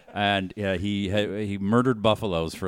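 Very deep, low male voice in a Boston accent, at a moderate pace. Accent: Boston accent, swallows word endings. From Boston, Massachusetts. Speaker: podcast co-host. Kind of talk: casual chat.

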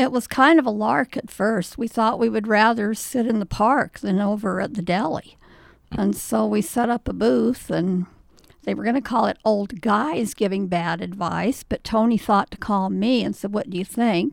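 This woman has a medium pitch and some vocal fry. She speaks at a moderate pace with ordinary pitch variation. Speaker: retired woman at advice booth. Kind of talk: casual interview chat.

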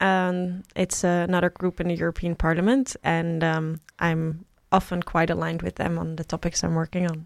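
A woman's fairly low voice in a Dutch accent, monotone and flat, at a moderate pace, with a dry, close sound and no echo. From Netherlands, small Bible Belt town. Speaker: politician. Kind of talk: interview. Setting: studio.

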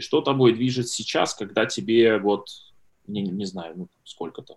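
Speaking at a moderate pace, a man uses medium pitch with ordinary pitch variation. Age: 30s. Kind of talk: casual interview. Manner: hesitant, many filler sounds.

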